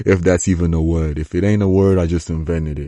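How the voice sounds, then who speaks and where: Against a quiet background, a man with a non-native accent speaks at a moderate pace with fairly even intonation and a dark, mellow tone, the sound dry and close with no echo. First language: not English (English is third language). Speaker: fighter and combat sports commentator. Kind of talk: casual vlog monologue. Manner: rambling, halting.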